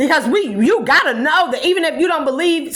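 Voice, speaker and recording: A raised, projected voice with a bright, sharp tone carries an animated delivery and very wide pitch swings. The pace is moderate, and room echo is audible. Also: woman. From California. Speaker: spiritual vlogger. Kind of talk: impassioned monologue. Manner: loud.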